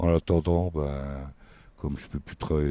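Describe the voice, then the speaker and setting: A man's very deep, low voice with a dark, mellow tone and fairly even intonation, at a fairly slow pace, in dry, close sound with no echo and a quiet background. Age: 60s. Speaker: minibus driver. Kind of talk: interview. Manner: hesitant.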